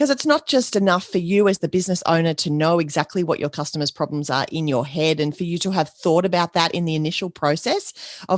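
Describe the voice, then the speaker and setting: A woman with an Australian accent talks very fast in a fairly low voice. The sound is dry and close with no echo, over a quiet background. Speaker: podcast host, business coach. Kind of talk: podcast monologue.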